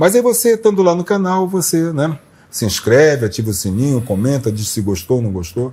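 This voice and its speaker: This man's voice is somewhat breathy, fairly high-pitched, and dark and mellow in tone. He talks at a fairly quick pace with very wide pitch swings. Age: 60s. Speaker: journalist, interview show host. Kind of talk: channel promo appeal to viewers; casual interview talk.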